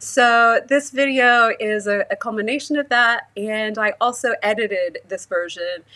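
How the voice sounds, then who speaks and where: Bright and sharp in tone, a woman's fairly high voice carries an American accent and a fairly even intonation. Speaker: sound artist and musician. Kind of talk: casual livestream chat. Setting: livestream.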